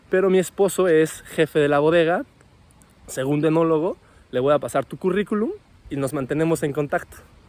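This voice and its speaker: This man's voice sits fairly high, with ordinary pitch variation and a fairly quick pace. He leaves long, frequent pauses. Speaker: winemaker and wine podcast host. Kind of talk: casual vlog monologue. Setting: outdoors after a run.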